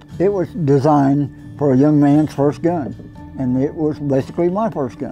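Faint music plays in the background. A man speaks at a moderate pace with ordinary pitch variation. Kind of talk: interview answer. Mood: relaxed, reminiscing. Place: home room.

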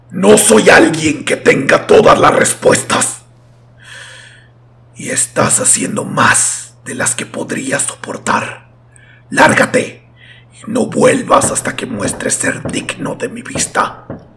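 A man speaks with a raspy voice. His pace is fairly slow. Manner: sanctimonious, hostile.

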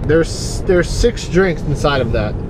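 A man speaks at a moderate pace, and noticeable background noise can be heard. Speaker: delivery driver vlogger. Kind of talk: casual vlog chat. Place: car. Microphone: phone near.

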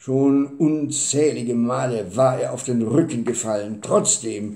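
With audible room echo, a man speaks at a very slow pace in a dark, mellow, somewhat breathy tone with ordinary pitch variation. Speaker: storyteller. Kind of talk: storytelling reading. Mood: calm, warm narration. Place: home room. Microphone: webcam.

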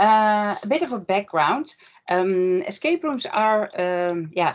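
With a Dutch accent, a woman talks at a very slow pace and a medium pitch. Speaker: workshop presenter. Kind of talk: online workshop presentation. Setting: video call. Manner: apologetic about English, hesitant.

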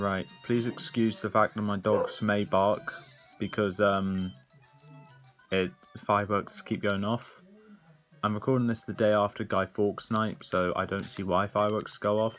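Faint music plays in the background as the speaker talks with fairly even intonation and long, frequent pauses. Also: man. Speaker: gamer. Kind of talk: game commentary. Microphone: phone near.

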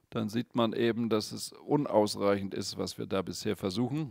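A man talks with vocal fry. The sound is dry with no echo, over a quiet background. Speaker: Buddhist meditation teacher. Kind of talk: guided meditation and dharma teaching, calm and explanatory. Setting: studio, video stream without audience. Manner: gently explanatory, conversational.

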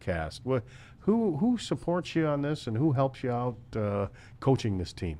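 At a moderate pace, a man with an American accent speaks with very wide pitch swings. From US Midwest. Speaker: local sports podcast host. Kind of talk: interview. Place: studio. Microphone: studio mic.

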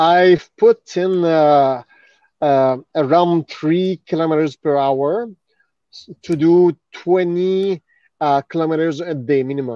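Very slow and broken by long, frequent pauses, a man's speech in a Quebec French accent has ordinary pitch variation, with a dry sound with no echo and a quiet background. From Montreal, Quebec. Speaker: retired MMA fighter; podcast guest. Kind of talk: casual chat. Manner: halting. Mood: earnest, reflective. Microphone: video call.

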